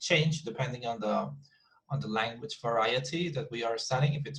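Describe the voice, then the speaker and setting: A man speaks in a Colombian accent at a fairly quick pace. Vocal fry runs through his voice. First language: Spanish. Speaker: English teacher. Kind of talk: online class lecture. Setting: video call class with breakout rooms. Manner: repetitive, halting with many fillers.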